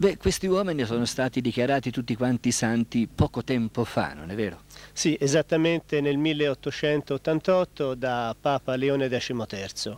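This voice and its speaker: A man with an ordinary speaking voice talks at a fairly slow pace and medium pitch, with ordinary pitch variation, in a dry, close sound with no echo on a very clean recording with a silent background. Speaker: friar, convent superior. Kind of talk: TV interview answers, explanatory. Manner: calm, formal, explanatory.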